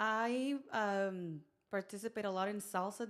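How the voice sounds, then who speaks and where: A woman speaks with a Mexican accent. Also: very clean recording, silent background. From Mexico, Mexicali, Baja California. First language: Spanish. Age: young. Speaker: podcast guest, performer. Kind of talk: casual chat.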